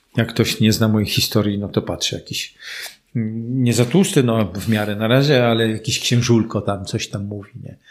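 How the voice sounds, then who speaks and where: A man's medium-pitched voice, a normal speaking voice, with fairly even intonation at a moderate pace. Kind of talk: casual interview.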